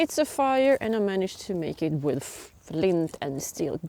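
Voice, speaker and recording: A woman with a Swedish accent, medium in pitch, with very wide pitch swings and a very slow pace. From Sweden. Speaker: biology and geography teacher, bushcraft hobbyist. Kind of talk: casual talk to camera. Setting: outdoors.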